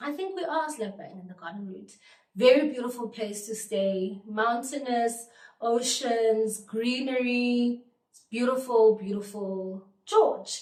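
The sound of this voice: With a fairly high pitch and a slightly mellow tone, a woman speaks at a fairly slow pace. Her pitch varies in an ordinary way, and room echo is audible.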